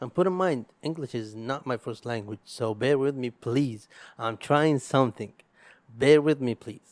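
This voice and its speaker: Speaking slowly-ish with an Arabic accent, a man has a medium pitch and ordinary pitch variation, recorded dry and close with no echo. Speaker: podcast host. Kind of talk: casual solo podcast monologue. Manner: halting, with repetitions.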